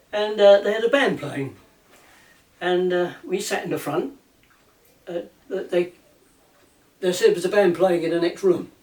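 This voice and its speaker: A man with an English accent speaks in a high voice with ordinary pitch variation. His pace is moderate, broken by long, frequent pauses. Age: 80s+. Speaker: ukulele banjo player and maker. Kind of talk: casual storytelling, reminiscing.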